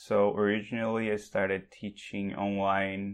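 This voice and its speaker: A man with a Portuguese accent speaks at a very slow pace in a fairly low voice. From Brazil, Sao Paulo. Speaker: remote tech worker and online teacher. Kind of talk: casual chat. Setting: video call.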